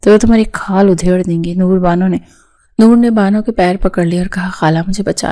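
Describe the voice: Someone reads the text aloud plainly.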